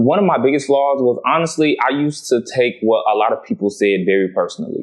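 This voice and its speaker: A man with an American accent talks at a very fast pace, his pitch swinging very widely while his loudness stays very even. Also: fairly high pitch for a man. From Florida, outskirts of Tampa. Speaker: reality TV personality. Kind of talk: podcast interview.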